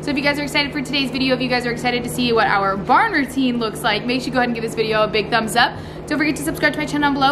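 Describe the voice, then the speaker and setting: With music in the background, a woman speaks at a very fast pace in a high pitch. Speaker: farm vlogger. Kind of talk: casual vlog chat. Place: farm machine. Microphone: phone near.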